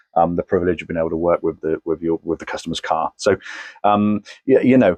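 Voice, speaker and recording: A man with a Somerset accent talks at a very fast pace in a dry, close sound with no echo. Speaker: car tuner. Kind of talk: casual video commentary. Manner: hesitant, many fillers.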